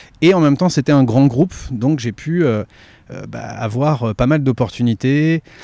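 At a fairly slow pace, a man's dark, mellow voice sits at a medium pitch with ordinary pitch variation, dry and close with no echo. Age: 40s. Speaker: podcast host. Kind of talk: interview answers, casual chat. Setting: outdoors in a garden. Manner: raised voice to cover surrounding sounds.

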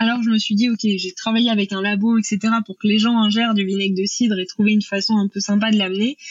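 A woman speaks very fast in a fairly high, somewhat breathy voice with monotone, flat intonation. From Normandy, France. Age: 30s. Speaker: entrepreneur, food brand founder. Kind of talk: podcast interview. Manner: hesitant, many fillers.

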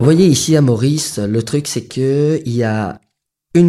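A man with a fairly high pitch talks in a dark, mellow tone. His pitch varies in an ordinary way. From Mauritius, Grand Baie. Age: 30s. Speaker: fishing boat owner. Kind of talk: interview testimony. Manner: hesitant, filler-heavy.

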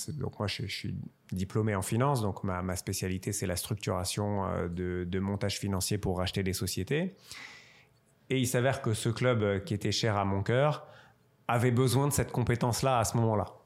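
In a normal speaking voice, someone talks at a moderate pace with ordinary pitch variation on a very clean recording over a silent background. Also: man, fairly low pitch for a man. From Strasbourg, Alsace, France. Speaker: wealth manager and football club shareholder. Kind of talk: interview.

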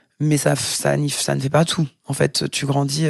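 The background is quiet. A woman speaks very slowly in a very deep, low pitch. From Paris suburbs, France. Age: 40s. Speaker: professional dancer. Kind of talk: casual interview.

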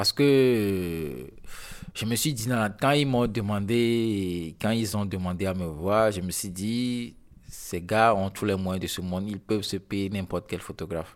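At a fairly slow pace, a man with a fairly low pitch and ordinary pitch variation speaks on a very clean recording with a silent background. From Togo. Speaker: photographer. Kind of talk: interview. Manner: halting.

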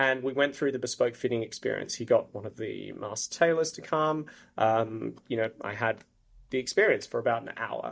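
A man with an Australian accent at a moderate pace. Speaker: marketing executive. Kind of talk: interview.

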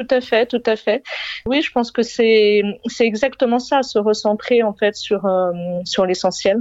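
Very slow delivery with ordinary pitch variation. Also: woman, fairly high pitch for a woman. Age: 40s. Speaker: single mother and entrepreneur. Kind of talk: casual chat. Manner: halting.

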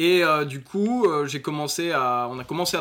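Against noticeable background noise, a man with a fairly high-pitched voice speaks at a moderate pace. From northern France, north of Lille. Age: 20s. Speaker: e-commerce entrepreneur and crypto expert. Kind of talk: interview. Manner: halting, many fillers.

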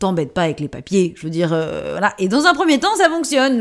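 A woman with a medium-pitched voice talks in an animated tone at a very fast pace. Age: 30s. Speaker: actress, playwright and feminist author. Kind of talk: interview.

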